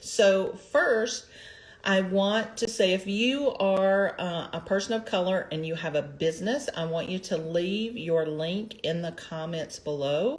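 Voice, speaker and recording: A woman with an ordinary speaking voice talks at a fairly slow pace. Her pitch is medium, with ordinary variation. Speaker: empowerment coach and livestream host. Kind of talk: casual livestream talk. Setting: live broadcast.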